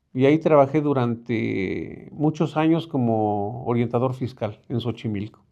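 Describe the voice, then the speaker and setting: Over a quiet background, a man talks at a fairly slow pace. His voice is medium in pitch with a dark, mellow tone. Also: ordinary pitch variation, hardly any pauses. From Mexico City, Álvaro Obregón. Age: 50s. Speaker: neighborhood representative. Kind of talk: interview. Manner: halting.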